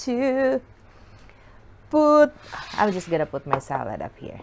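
This woman's voice sits high and moves through very wide pitch swings. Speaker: food vlogger. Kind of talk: casual mukbang chat. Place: home room. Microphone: camera far.

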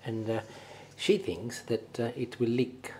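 Light background noise sits under this recording. A man speaks at a moderate pace. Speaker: home cook host. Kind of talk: tutorial. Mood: jovial, laughing. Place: kitchen. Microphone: lapel.

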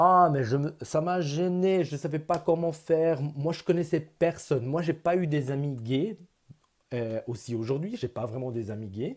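Here a man with a non-native accent speaks at a fairly slow pace. His pitch is fairly high and his intonation lively. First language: not French (speaking French). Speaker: vlogger. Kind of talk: personal vlog. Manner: halting. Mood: earnest, personal, reflective. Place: home room. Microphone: earbuds.

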